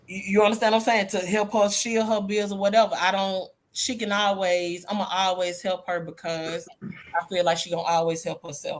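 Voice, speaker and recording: Using a plain, everyday voice, a woman at medium pitch speaks at a fairly quick pace with fairly even intonation. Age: 50s. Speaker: group chat panelist. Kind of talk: casual chat.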